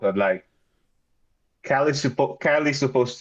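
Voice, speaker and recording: A man with a Filipino accent at a moderate pace, with ordinary pitch variation. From Philippines. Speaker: battle rapper. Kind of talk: interview. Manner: halting, with many fillers and restarts.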